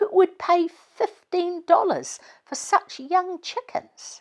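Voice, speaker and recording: In a squeaky put-on character voice, a woman speaks at an extremely high pitch and a very slow pace. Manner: disapproving, quiet.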